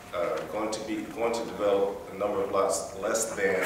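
Amid noticeable background noise and strong room echo, a man talks at a moderate pace. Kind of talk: staff report presentation. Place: meeting room.

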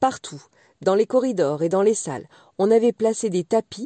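Recorded very cleanly against a silent background, with a dry, close sound and no echo, a woman speaks in a gentle, warm tone at a fairly high pitch with lively intonation. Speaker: audiobook reader. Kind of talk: bedtime story reading, scripted fairy-tale narration. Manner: slow, soft, gentle storyteller's pace with warm expressive lilt.

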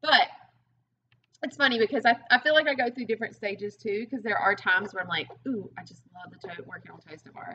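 A woman with a Southern US accent talks very fast, her fairly high voice bright and sharp in tone. Her intonation is lively, her loudness swings widely, and light background noise sits behind her. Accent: Southern US (Georgia). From US South, rural Georgia. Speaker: fitness coach. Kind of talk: casual interview. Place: gym. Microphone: webcam.

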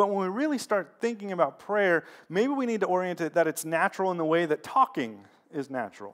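Against a quiet background, a man talks at a fairly quick pace in a high pitch with lively intonation. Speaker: pastor. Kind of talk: sermon with prayer. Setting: church. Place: church.

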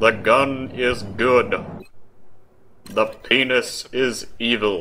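A man does a put-on character voice at medium pitch. He speaks very slowly.

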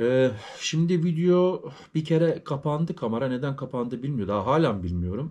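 Lively intonation marks this man's fairly high, dark and mellow voice. He is somewhat breathy and keeps a moderate pace. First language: German stronger than Turkish (speaking Turkish). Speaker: YouTuber, vlogger. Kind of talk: casual vlog talk to viewers. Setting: at home. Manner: halting, with many fillers. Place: home room. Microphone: phone near.

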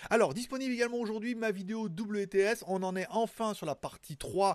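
A man at a moderate pace, dry sound with no echo and a quiet background. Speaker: tech news show host. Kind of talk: casual news commentary. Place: home room. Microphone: studio mic.

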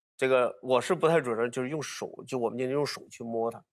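In a quiet background, a man of medium pitch speaks at a moderate pace with ordinary pitch variation. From Hunan, Hunan-Jiangxi border; Hunan. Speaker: archaeologist; guest. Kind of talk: casual panel talk. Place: studio. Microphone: lapel.

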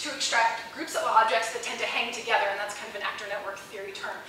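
A woman's voice in strong room echo, with light background noise. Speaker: junior professor presenting research. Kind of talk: lecture. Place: hall.

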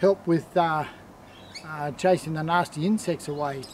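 A man speaks at a fairly slow pace with an Australian accent. Light background noise sits behind him. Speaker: product presenter; presenter. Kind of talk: sales pitch. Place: garden.

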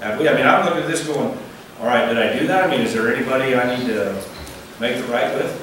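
A man at a very fast pace, with strong room echo and noticeable background noise. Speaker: pastor. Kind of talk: sermon. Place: church.

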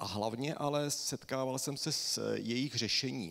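With vocal fry, a man talks at a medium pitch with ordinary pitch variation. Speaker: hydrogeologist and university lecturer; university lecturer. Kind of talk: lecture. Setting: stage with audience. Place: stage.

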